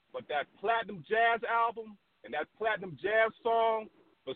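A man's high voice with an American accent. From US Midwest, Chicago. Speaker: caller. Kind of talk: call-in question. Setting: phone call.

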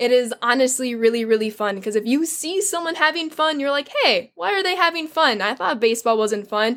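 Lively intonation marks this woman's high-pitched voice in an American accent, at a fairly quick pace with hardly any pauses. Noticeable background noise runs underneath. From US Midwest, southwest Chicago. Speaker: Twitch streamer. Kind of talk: casual interview chat.

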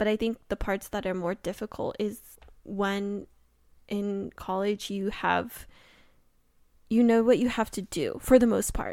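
A woman speaks at medium pitch and a moderate pace with monotone, flat intonation, the sound dry and close with no echo on a very clean recording with a silent background. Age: 20s. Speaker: podcast co-host. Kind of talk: casual chat.

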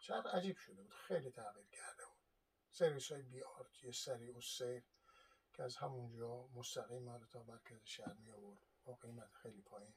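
A somewhat breathy man speaks at a fairly quick pace with ordinary pitch variation. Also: medium pitch for a man, big swings in loudness. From Iran. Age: 60s. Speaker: video blogger on history and travel. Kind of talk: monologue talk. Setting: home, seated on sofa.

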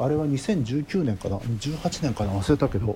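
A man's somewhat breathy, medium-pitched voice, dark and mellow in tone, with very wide pitch swings. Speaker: composer. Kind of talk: interview.

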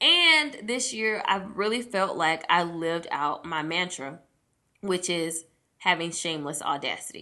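Bright and sharp in tone, a woman's fairly low voice comes across animated, with lively intonation at a fairly slow pace. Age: 30s. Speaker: podcast host. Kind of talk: casual solo podcast talk.

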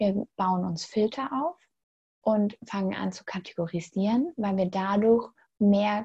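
The sound is dry and close with no echo. A woman speaks in a dark, mellow, somewhat breathy tone. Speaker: spiritual coach. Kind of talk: interview. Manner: animated.

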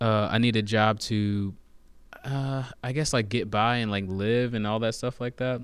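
The speaker is a man with a plain, everyday voice. His medium pitch, fairly even intonation and moderate pace hold throughout. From US Virgin Islands (Saint Thomas), raised US South. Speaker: rapper, singer and poet. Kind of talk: casual podcast interview.

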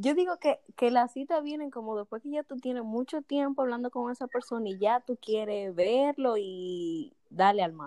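With lively intonation and big swings in loudness, a woman speaks at a high pitch and moderate pace in a very clean recording with a silent background. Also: dry, close sound with no echo. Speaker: podcast co-host. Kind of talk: casual chat.

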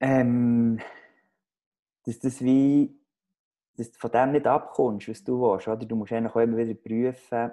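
The voice has a dark, mellow tone and a monotone, flat delivery at a fairly slow pace, over a quiet background. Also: man. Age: young. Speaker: podcast co-host. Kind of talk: casual chat. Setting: video call from home living room.

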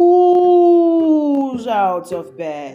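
A high-pitched, put-on character voice. Its pitch swings very widely. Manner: spooky, drawn out.

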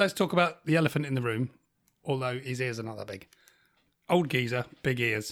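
Speaking with a British accent at medium pitch, a man moves at a fairly quick pace with ordinary pitch variation and long, frequent pauses. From UK. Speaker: podcast host. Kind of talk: casual chat. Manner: animated.

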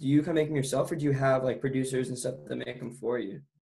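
Speaking very fast, this man has a fairly high pitch, fairly even intonation, a dark, mellow tone and a somewhat breathy quality. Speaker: podcast host. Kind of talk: casual interview chat.

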